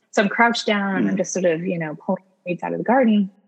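A woman is talking. Her accent is American. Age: 30s. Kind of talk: interview, casual chat.

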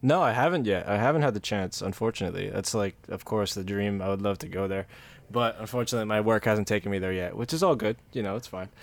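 With an American accent, a man of fairly low pitch speaks very fast with ordinary pitch variation. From New Jersey, US. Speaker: podcast host. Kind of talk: casual interview chat.

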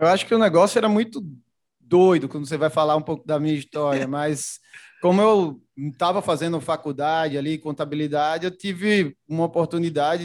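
With a Recife accent, a man of fairly high pitch talks at a moderate pace with ordinary pitch variation, in a very clean recording with a silent background. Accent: Pernambuco (Recife). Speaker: logistics executive. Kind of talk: casual interview.

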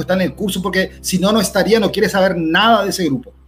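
Music plays in the background as a man talks in a high pitch with ordinary pitch variation. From Paraguay. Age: 40s. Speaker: cybersecurity expert. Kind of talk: educational talk.

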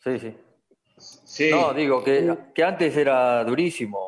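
The man talks very slowly. Long pauses come often between his words. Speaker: former footballer. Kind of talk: casual chat. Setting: video call.

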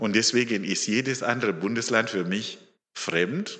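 A man's fairly low, bright, sharp voice at a moderate pace, with audible room echo. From Zimbabwe. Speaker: lay preacher. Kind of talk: sermon.

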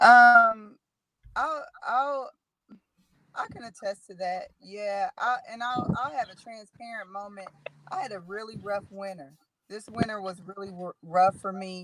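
A woman with a fairly high pitch and ordinary pitch variation, at a fairly slow pace, with long, frequent pauses and big swings in loudness. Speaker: community leader and mother. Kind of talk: casual interview. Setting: video call from a car.

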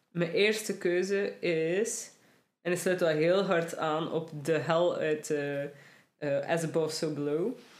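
At a very slow pace, a woman speaks with very even loudness. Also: fairly low pitch for a woman, ordinary pitch variation. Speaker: podcast host. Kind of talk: casual chat. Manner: mouth-breathing, sniffly.

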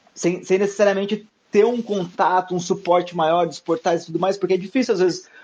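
Using fairly even intonation, a man talks at a high pitch. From southern Minas Gerais, Brazil (small interior town). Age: 20s. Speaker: podcaster, music curator and DJ. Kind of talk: casual chat.

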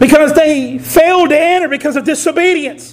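The speaker is loud, with a Southern US accent. The pace is moderate, and background noise is noticeable. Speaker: preacher. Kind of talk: sermon. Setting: church. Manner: animated.

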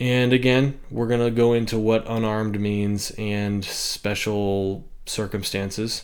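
With audible room echo, a man in an American accent speaks at a fairly slow pace and a fairly low pitch, using monotone, flat intonation and hardly any pauses. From US West, Bishop, California. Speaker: podcast host. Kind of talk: solo commentary monologue.

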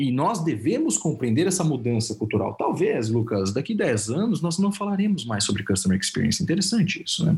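With hardly any pauses, a man talks at a fairly quick pace in a fairly high pitch, his loudness very even while his pitch swings very wide. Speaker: consultant and professor. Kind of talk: interview.

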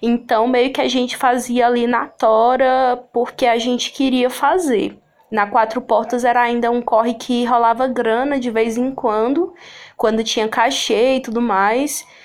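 With very even loudness and fairly even intonation, a woman speaks at a high pitch and a fairly slow pace on a very clean recording with a silent background. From Sobral, Ceará, Brazil. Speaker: actress, poet and cultural producer. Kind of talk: casual interview.

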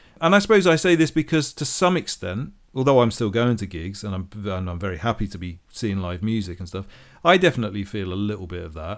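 Talking at a very fast pace with hardly any pauses, a man with a fairly low pitch makes very wide pitch swings and big swings in loudness on a very clean recording with a silent background. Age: 40s. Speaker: podcast co-host. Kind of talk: casual chat. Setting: studio.

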